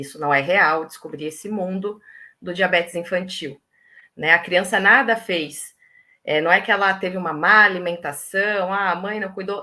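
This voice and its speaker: On a very clean recording with a silent background, a woman speaks at a moderate pace. Her fairly low pitch carries a bright, sharp tone and fairly even intonation. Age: 30s. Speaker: mother of a child with diabetes. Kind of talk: live stream interview.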